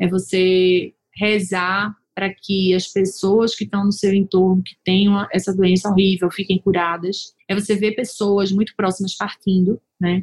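Her medium-pitched voice moves at a fairly slow pace in a monotone with flat intonation, and the woman's sound is dry and close with no echo. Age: 40s. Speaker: lawyer and company founder, podcast host. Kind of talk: solo podcast monologue. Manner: casual, conversational.

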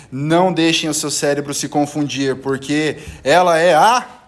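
Noticeable background noise sits behind a man speaking at a fairly slow pace. His pitch is fairly high. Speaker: amateur podcast host. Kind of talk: casual chat among friends. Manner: playful, animated.

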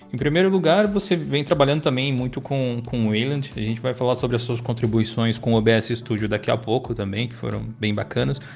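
With an unremarkable speaking voice, a man talks at a medium pitch and a fairly quick pace, with lively intonation and hardly any pauses. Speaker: tech podcast co-host and Linux video creator. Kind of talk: casual chat.

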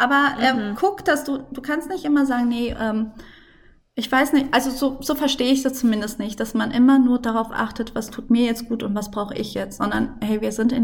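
High in pitch, a woman speaks with ordinary pitch variation at a moderate pace. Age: 30s. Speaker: mother and Instagram content creator. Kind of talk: casual interview.

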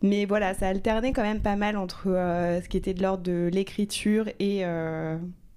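A woman's medium-pitched, dark and mellow voice, fairly slow and flat in a monotone, with audible room echo. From Normandy, France (Rouen). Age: 30s. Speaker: screenwriter. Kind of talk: interview. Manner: hesitant, many fillers.

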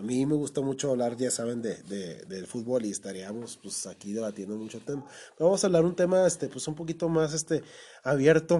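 In a Mexican accent, a man speaks with a dark, mellow tone, lively intonation and big swings in loudness. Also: medium pitch for a man, fairly quick pace. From Mexico. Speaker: podcast host. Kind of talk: casual chat. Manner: animated.

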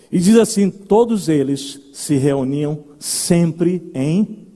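The voice has a dark, mellow tone. Its pace is very slow. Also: man. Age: 40s. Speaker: pastor. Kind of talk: sermon. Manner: animated.

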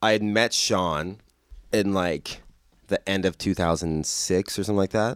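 An ordinary speaking voice from a man, fairly low in pitch, with very even loudness, fairly even intonation, a moderate pace and a very clean recording over a silent background. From Hawaii and Denver, Colorado. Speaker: musician. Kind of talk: casual chat.

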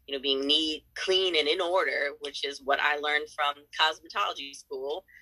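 With a Californian accent, a woman speaks at a moderate pace and very deep, low pitch. Her tone is bright and sharp, and her pitch varies in an ordinary way. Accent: American, Californian. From San Diego, California. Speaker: salon owner and brow artist. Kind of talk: interview.

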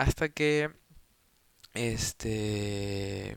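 A man talks with ordinary pitch variation on a very clean recording with a silent background. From Peru. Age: 20s. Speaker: podcaster. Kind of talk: casual monologue. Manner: hesitant, many filler words.

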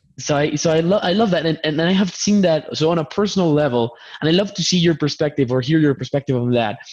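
Speaking at a very fast pace with a Spanish accent, a man uses a fairly high pitch with ordinary pitch variation. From Colombia. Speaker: podcast host. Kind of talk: live stream interview. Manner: repetitive, halting starts.

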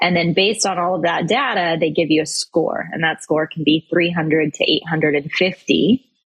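This woman speaks at a fairly low pitch with ordinary pitch variation. She has an unremarkable speaking voice. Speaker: financial advisor and speaker. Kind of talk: interview conversation.

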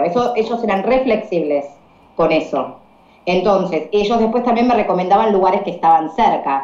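A woman with an Argentine accent talks with ordinary pitch variation, with audible room echo and noticeable background noise. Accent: Argentine Spanish (Rioplatense, voseo). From Argentina. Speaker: English teacher and volunteer traveller. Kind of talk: interview.

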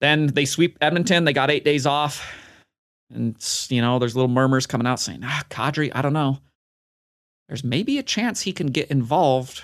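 Against a quiet background, a man with fairly high pitch and ordinary pitch variation talks at a moderate pace, with long, frequent pauses. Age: 30s. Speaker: sports podcast host. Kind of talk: solo monologue podcast. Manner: animated.

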